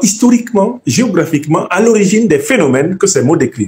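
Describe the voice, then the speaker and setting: In a Cameroonian accent, a man talks at a moderate pace with very wide pitch swings. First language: Bassa (speaking French). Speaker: professor and political commentator. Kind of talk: lecture to an audience. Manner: didactic, emphatic.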